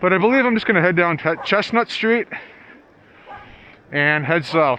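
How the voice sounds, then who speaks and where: Against noticeable background noise, a man with a high pitch uses lively intonation and keeps his loudness very even. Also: moderate pace. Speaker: video blogger. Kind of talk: vlog narration. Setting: outdoors, riding a bike in a blizzard.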